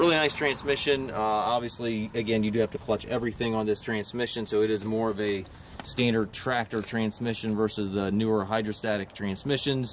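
Over light background noise, a man talks at a fairly quick pace with hardly any pauses, very even loudness and a dry sound with no echo. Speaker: tractor salesman. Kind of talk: product walkaround commentary. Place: street. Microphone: phone near.

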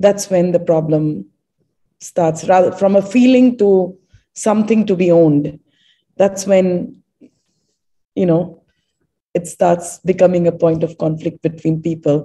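The speaker is a woman with a somewhat breathy voice. Her pitch varies in an ordinary way. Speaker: panelist. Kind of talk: panel discussion. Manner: halting.

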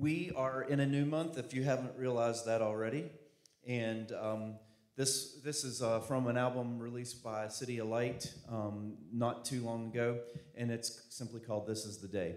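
A man talks at a moderate pace with fairly even intonation. The room echo is audible and the background is quiet. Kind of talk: scripture reading and announcement. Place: church. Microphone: handheld.

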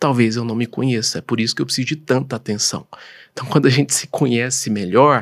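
Against a quiet background, a man speaks at a moderate pace. He has a Goiás accent. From Goiás, Brazil. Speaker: doctor and professor; professor. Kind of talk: interview. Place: studio. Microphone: studio mic.

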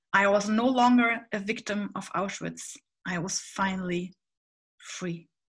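With a German accent and a bright, sharp tone, a woman talks at a medium pitch with ordinary pitch variation over a quiet background. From Hamburg, northern Germany; Germany. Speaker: panelist. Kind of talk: panel presentation. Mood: warm, earnest. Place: home room. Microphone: webcam.

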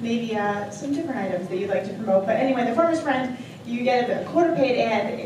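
A woman with an American accent speaks at a fairly quick pace in a fairly high pitch, with light background noise and audible room echo. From Long Island, New York. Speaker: auctioneer. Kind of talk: auction item pitch. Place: hall.

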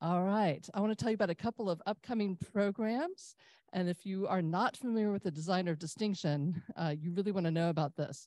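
A woman's dark, mellow voice, with ordinary pitch variation, comes through dry with no echo against a quiet background. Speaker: club host. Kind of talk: event announcements. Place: hall.

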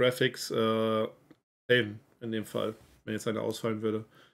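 Moderate tempo from a male speaker. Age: 30s. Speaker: esports organization representative; stream host. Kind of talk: casual livestream Q&A. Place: home room.

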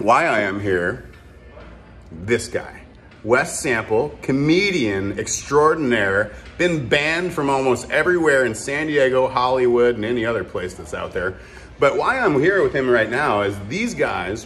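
A man at a fairly slow pace with lively intonation, over light background noise. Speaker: vlogger host. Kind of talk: casual vlog chat. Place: bar. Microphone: phone near.

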